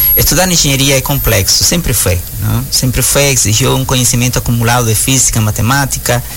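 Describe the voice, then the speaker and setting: Noticeable background noise behind a man's voice, medium in pitch and moderate in pace. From Cuba. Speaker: engineering professor. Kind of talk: radio interview. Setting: studio.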